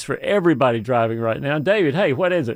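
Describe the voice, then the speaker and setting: Fairly high in pitch, a man speaks at a fairly quick pace in an ordinary speaking voice. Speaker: radio host.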